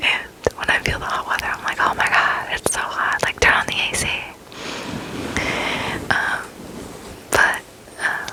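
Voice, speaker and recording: A woman whispers with an American accent at a moderate pace. Long, frequent pauses break her speech over noticeable background noise. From Arizona. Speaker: ASMR creator. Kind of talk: ASMR casual rambling to camera. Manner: whispered.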